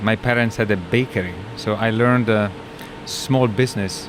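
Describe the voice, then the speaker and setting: A man with an Italian accent, fairly low pitch, moderate pace and fairly even intonation, over noticeable background noise. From northern Italy. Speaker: company CEO. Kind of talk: interview.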